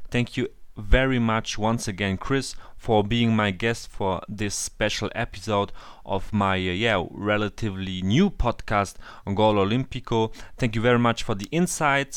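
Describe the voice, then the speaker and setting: Here a man speaks in a German accent at a fairly low pitch, with ordinary pitch variation. It is a very clean recording over a silent background. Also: moderate pace. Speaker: football podcast host. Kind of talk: interview. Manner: halting.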